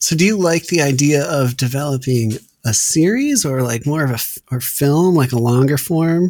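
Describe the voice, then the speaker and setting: A man with a fairly high pitch and ordinary pitch variation talks in a plain, everyday voice. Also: moderate pace. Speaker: podcast host and stand-up comedian. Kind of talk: casual chat.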